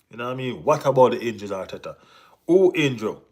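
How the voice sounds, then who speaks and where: On a very clean recording with a silent background, a man speaks in a Jamaican accent. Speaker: football vlogger. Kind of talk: live stream chat. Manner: animated.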